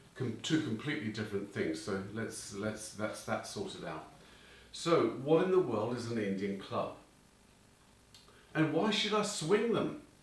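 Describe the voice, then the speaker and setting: Over noticeable background noise and audible room echo, a man of medium pitch speaks at a fairly slow pace with very wide pitch swings and long, frequent pauses. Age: 60s. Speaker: fitness instructor. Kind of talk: tutorial.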